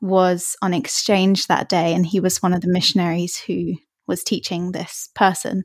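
With an English accent, a woman of medium pitch speaks at a fairly slow pace and with fairly even intonation, the sound dry and close with no echo on a very clean recording with a silent background. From England, Hertfordshire, just north of London. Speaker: church member guest. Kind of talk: casual chat.

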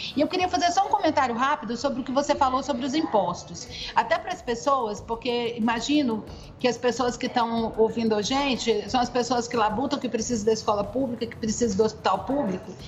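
Music plays in the background behind a woman. Her high voice carries lively intonation. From Goiânia, Brazil. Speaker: education researcher and NGO advocate. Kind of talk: podcast interview, explanatory.

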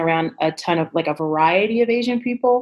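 Her pitch rises and falls over a very wide range. The speaker is a woman. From Chicago, South Side. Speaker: travel business founder. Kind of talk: casual interview.

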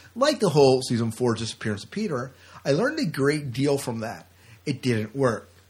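Lively intonation marks this man's somewhat breathy voice. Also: medium pitch for a man, fairly quick pace. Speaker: podcast co-host. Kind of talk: casual chat.

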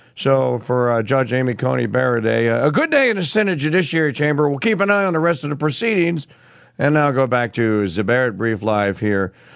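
A man's medium-pitched voice at a fairly quick pace, with very wide pitch swings and very even loudness. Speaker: radio news host. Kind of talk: news commentary.

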